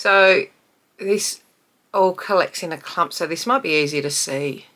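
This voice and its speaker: Speaking at a fairly slow pace, a woman has a fairly low pitch and lively intonation. Her tone is bright and sharp, in a very clean recording with a silent background. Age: 50s. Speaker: beauty vlogger. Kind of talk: casual talk to camera tutorial.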